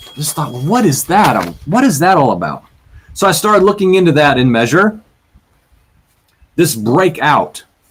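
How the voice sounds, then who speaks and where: The voice makes very wide pitch swings at a moderate pace, broken by long, frequent pauses. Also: man, fairly high pitch for a man. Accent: Virginian. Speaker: bible teacher podcaster. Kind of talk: bible teaching podcast. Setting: webcam recording. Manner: casual, self-correcting.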